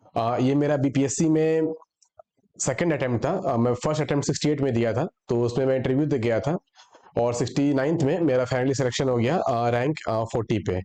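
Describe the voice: A man speaks at a fairly quick pace, his tone dark and mellow. His pitch varies in an ordinary way. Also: medium pitch for a man.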